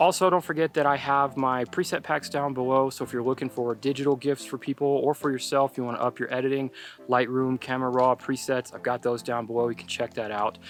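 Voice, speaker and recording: Over noticeable background noise, a man with a medium pitch talks at a very fast pace with hardly any pauses and fairly even intonation, in a dry, close sound with no echo. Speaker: landscape photographer and youtuber. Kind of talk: vlog tutorial outdoors. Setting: outdoors at sunset. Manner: rushed, fast.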